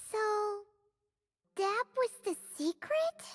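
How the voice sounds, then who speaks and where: A put-on character voice pitched extremely high carries this clip. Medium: video game. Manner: excitable, high-energy.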